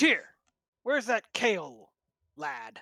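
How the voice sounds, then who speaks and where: A raspy put-on character voice with fairly high pitch comes through on a very clean recording with a silent background. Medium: actual play. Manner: gruff, grumbling.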